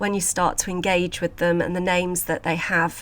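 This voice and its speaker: A woman speaks in a British accent. Her pitch is medium. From UK. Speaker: podcast host and sculpture conservator. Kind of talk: casual podcast monologue.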